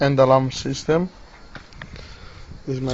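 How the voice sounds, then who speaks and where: The speaker has a non-native accent. Noticeable background noise runs underneath. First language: not English. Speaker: hobbyist lockpicker demonstrating tools. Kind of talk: tutorial. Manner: halting.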